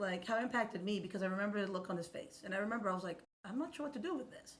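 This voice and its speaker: A woman speaks at medium pitch with ordinary pitch variation. Audible room echo surrounds her voice. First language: Spanish. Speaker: accessibility expert and educator. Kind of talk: podcast interview.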